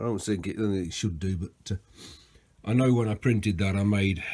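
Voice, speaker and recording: On a very clean recording with a silent background, the voice is somewhat breathy with fairly even intonation. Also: man. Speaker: machinist demonstrating hand scraping. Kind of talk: workshop tutorial. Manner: casual, hesitant with fillers.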